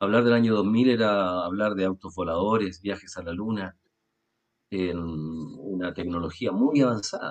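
A man speaks in a normal speaking voice, his fairly low pitch moving with ordinary variation. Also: fairly slow pace. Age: 40s. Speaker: radio program host. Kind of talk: religious discussion. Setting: recorded video and radio program.

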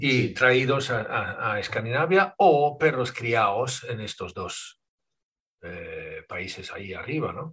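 Speaking at a very slow pace, a man lets his loudness swing widely. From Sweden. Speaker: podcast host and dog trainer. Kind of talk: interview conversation.

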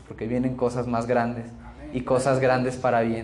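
A man's flat, monotone delivery with audible room echo. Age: 20s. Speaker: guest preacher, bible school student. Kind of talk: sermon.

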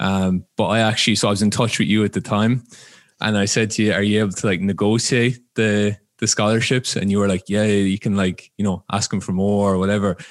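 The speaker has an Irish accent and talks at a fairly quick pace in a monotone, flat intonation with very even loudness. The recording is very clean with a silent background and a dry, close sound with no echo. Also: man, fairly low pitch for a man. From Ireland. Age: 20s. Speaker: football coach and player. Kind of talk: casual interview chat.

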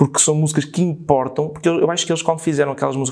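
This is a man speaking. His pitch sits fairly high for a man. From northern Portugal. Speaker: screenwriter and film director. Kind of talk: casual chat.

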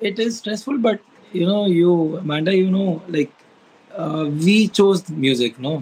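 With an Indian accent, a man speaks at a high pitch and a fairly slow pace with ordinary pitch variation. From India, Lucknow. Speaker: singer. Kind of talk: casual interview. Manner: halting.

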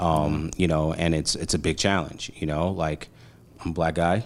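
A very deep, low-pitched man's voice with a New York accent. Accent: New York City. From Brooklyn, New York. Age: 40s. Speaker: marketing agency founder. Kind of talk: casual interview. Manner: animated.

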